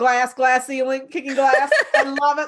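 A woman speaks in an animated tone with an American accent. Her pitch is high and her pace moderate. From New York. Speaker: podcast host, business coach. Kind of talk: interview.

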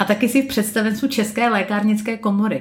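The speaker is a woman. Her voice has a somewhat breathy quality. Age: 30s. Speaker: podcast host. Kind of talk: casual interview.

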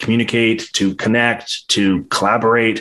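A man at medium pitch, with a quiet background. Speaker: podcast host. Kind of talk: interview. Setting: live virtual reality broadcast. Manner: fast.

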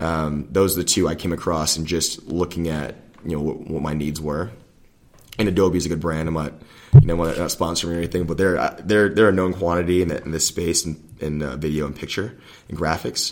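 This man's pitch is very deep and low, and his pace is fairly quick. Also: fairly even intonation. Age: 30s. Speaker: lobbyist. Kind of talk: interview. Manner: halting.

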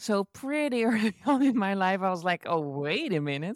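At a moderate pace, a woman speaks at medium pitch with very wide pitch swings, in a dry, close sound with no echo. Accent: Dutch. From Netherlands. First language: Dutch. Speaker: entrepreneur and online educator. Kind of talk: interview.

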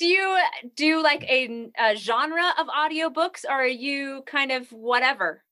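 A raised, projected voice with a bright, sharp tone speaks fairly slowly with lively intonation. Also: woman, high pitch for a woman. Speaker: podcast host. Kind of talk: interview chat. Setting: video call.

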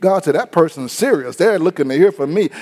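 The man sounds animated. His intonation rises and falls in a lively way. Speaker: radio preacher. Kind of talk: sermon. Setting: radio broadcast. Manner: animated, emphatic pulpit delivery; urgent, rhythmic, repetitive preaching cadence.

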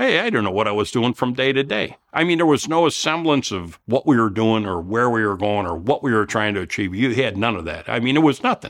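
A man with a Chicago accent, medium in pitch, lively in intonation, at a fairly quick pace with hardly any pauses. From Chicago area, Illinois. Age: 60s. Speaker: Vietnam War veteran. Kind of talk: interview.

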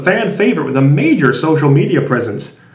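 The speech moves at a fairly quick pace through noticeable background noise. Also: man. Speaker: fantasy segment presenter. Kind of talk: comedic segment.

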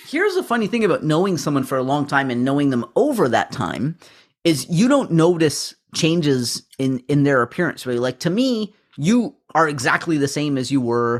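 An ordinary speaking voice with a Canadian accent, lively intonation and a moderate pace. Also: man, fairly high pitch for a man. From Canada. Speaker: podcast co-host. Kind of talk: casual chat.

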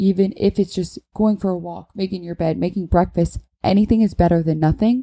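Fairly low pitch and a dark, mellow tone from a woman, with ordinary pitch variation at a moderate pace. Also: very clean recording, silent background. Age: 20s. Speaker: real estate agent podcast host. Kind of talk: casual monologue. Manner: dramatic.

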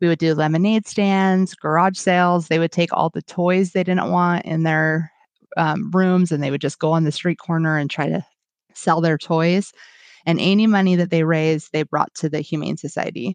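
Against a quiet background, a woman speaks with an American accent. Her pace is moderate and her intonation fairly even. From Washington State. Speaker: volunteer and substitute teacher. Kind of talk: interview.

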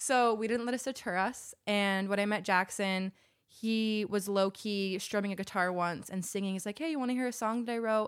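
In an American accent, a woman talks at a medium pitch with ordinary pitch variation and a moderate pace. She has an ordinary speaking voice on a very clean recording with a silent background. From Utah, Salt Lake City. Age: 30s. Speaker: musician and astrology enthusiast. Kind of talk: casual chat.

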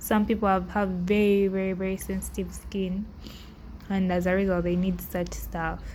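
A woman at a moderate pace with audible room echo. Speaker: podcast host. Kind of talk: casual monologue. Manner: halting.

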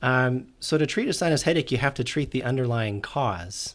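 A man speaks with an American accent in a normal speaking voice at a moderate pace. The recording is very clean, with a silent background. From Utah. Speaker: ENT doctor. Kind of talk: interview.

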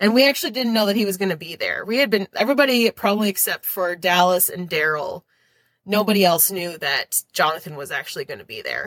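In an Upper Midwest US accent, a woman speaks at a very fast pace with medium pitch, lively intonation and big swings in loudness, her dry, close sound free of echo on a very clean recording with a silent background. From Minnesota, US. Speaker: teacher. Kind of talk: casual interview.

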